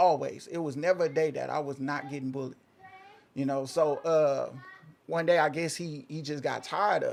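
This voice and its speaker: A man with an American accent, fairly high in pitch, at a moderate pace with fairly even intonation over noticeable background noise. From Oklahoma. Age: 30s. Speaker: interview guest. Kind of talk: casual interview, personal story. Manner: halting, repeats himself.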